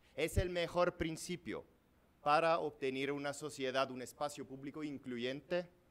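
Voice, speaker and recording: The speaker has a non-native accent and talks at a fairly slow pace with ordinary pitch variation. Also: man. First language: Italian (speaking Spanish). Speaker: law professor. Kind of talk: lecture. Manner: reading aloud; halting.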